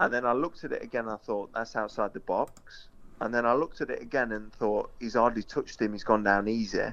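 Speaking with an East Midlands accent, a man talks at a fairly quick pace, medium in pitch, with ordinary pitch variation. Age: 30s. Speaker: former footballer. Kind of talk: casual chat.

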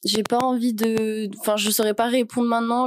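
A woman speaks in a flat monotone. The sound is dry and close with no echo, in a very clean recording with a silent background. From France, Annecy. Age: 20s. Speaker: graphic design student. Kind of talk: interview.

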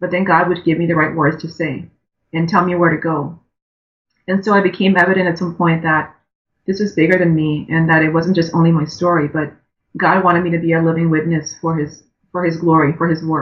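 A woman with a fairly low pitch talks at a fairly quick pace, somewhat breathy and in a monotone, flat intonation. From Liberia, West Africa. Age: 40s. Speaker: breast cancer survivor and foundation founder. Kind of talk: interview, personal testimony.

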